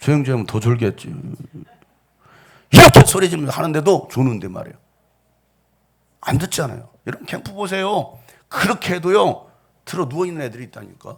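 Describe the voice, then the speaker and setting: A man talks at a fairly quick pace in a fairly high pitch, with very wide pitch swings and vocal fry. His loudness swings widely, and he takes long, frequent pauses. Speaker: pastor. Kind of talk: sermon. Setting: church.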